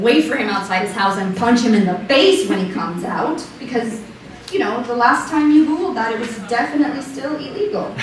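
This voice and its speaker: A woman speaks at a fairly quick pace and a high pitch, with very wide pitch swings. Noticeable background noise runs underneath. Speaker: slam poet. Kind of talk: slam poetry performance, second-person monologue.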